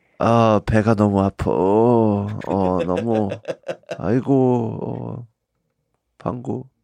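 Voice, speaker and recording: Over a quiet background, a man with a slight Korean accent, a fairly low pitch and a dark, mellow tone speaks at a very slow pace with ordinary pitch variation and long, frequent pauses. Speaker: comedian. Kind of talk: casual chat. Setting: studio. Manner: occasionally halting, searches for words.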